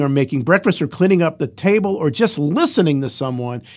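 Here is a man with an American accent and a normal speaking voice, pitched fairly high with ordinary pitch variation. He talks at a fairly quick pace on a very clean recording with a silent background. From Ohio, US (Cleveland). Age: 60s. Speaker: founder of a homeless shelter charity. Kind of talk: interview.

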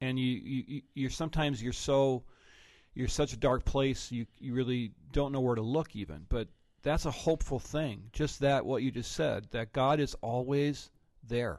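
A man's normal speaking voice at a medium pitch and moderate pace, with fairly even intonation over a quiet background. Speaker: pastor and podcast host. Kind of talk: interview.

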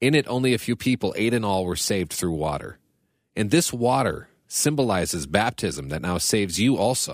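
Recorded very cleanly over a silent background, a man with vocal fry speaks at a moderate pace, his fairly low voice making very wide pitch swings. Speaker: radio program director. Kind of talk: Bible reading and discussion.

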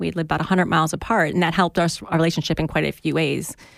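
A woman talks at a very fast pace. Her pitch sits fairly low, with vocal fry. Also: very clean recording, silent background. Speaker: podcast co-host. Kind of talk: casual chat.

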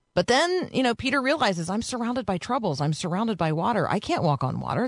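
Vocal fry marks a woman's fairly high voice. Her pitch swings very widely. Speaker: radio host. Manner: warm, conversational.

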